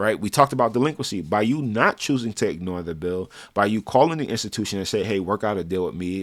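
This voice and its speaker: Very fast speech from a man comes through in a very clean recording with a silent background. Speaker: personal finance vlogger. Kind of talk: advice monologue.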